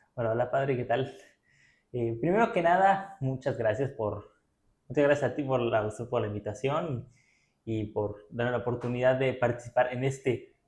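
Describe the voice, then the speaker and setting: The man's voice is somewhat breathy. He speaks at a medium pitch. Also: ordinary pitch variation, moderate pace. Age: 20s. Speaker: blind pianist and sprinter. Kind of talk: interview.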